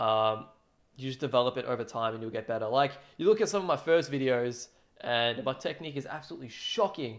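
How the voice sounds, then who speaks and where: A man with an Australian accent and a medium pitch. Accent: thick Australian. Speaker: drum cover streamer. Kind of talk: casual livestream chat. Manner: casual, filler-heavy.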